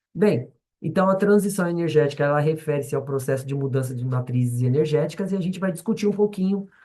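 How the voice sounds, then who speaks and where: Very fast and fairly high-pitched, a man speaks in a dark, mellow tone with ordinary pitch variation. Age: 40s. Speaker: schoolteacher. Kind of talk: lecture. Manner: halting, many fillers and restarts.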